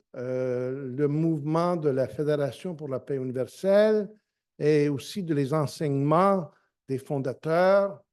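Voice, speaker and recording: Very slowly, a man with a dark, mellow tone and fairly high pitch speaks with lively intonation. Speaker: lecturer. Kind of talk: lecture. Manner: halting, many hesitations.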